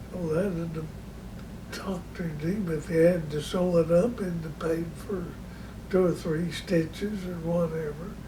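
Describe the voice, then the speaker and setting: A man with an American accent speaks at a high pitch with fairly even intonation over noticeable background noise. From Oklahoma, USA. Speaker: grandfather telling life stories. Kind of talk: casual storytelling of childhood memories.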